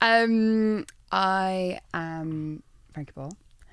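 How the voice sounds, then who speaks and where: A woman's ordinary pitch variation comes through on a very clean recording with a silent background. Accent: Scottish. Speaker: light artist. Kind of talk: interview.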